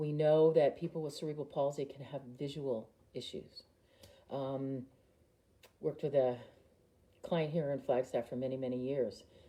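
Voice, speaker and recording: A woman with a dark, mellow tone and a very deep, low pitch speaks at a moderate pace. Her intonation is fairly even, broken by long, frequent pauses. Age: 50s. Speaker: occupational therapist. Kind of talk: live online presentation. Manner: hesitant, many fillers.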